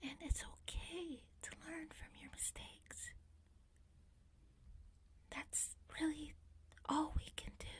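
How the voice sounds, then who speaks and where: A calm whisper at a very slow pace with long, frequent pauses. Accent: American. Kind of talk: soft-spoken ASMR talk to camera. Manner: soft-spoken, calm, relaxing.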